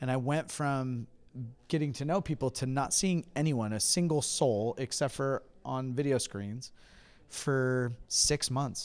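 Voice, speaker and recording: Recorded very cleanly over a silent background, a man with a normal speaking voice and an American accent talks at a fairly slow pace, with medium pitch and ordinary pitch variation. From California. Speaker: pastor. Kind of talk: interview. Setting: convention.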